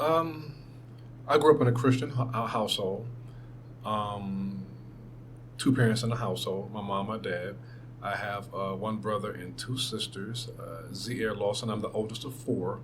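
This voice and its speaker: An American-accented man at medium pitch talks at a moderate pace with vocal fry and long, frequent pauses, amid audible room echo. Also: ordinary pitch variation. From Brooklyn, New York and Athens, Georgia. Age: 50s. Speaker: radio program director. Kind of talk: oral history interview. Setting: radio station studio. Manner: halting, many fillers.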